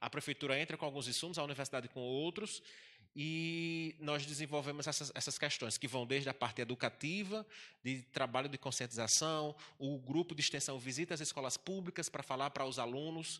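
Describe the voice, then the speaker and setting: A man's fairly high, bright, sharp voice at a fairly quick pace with ordinary pitch variation, on a very clean recording with a silent background. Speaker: university administrator. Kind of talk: panel talk. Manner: fast.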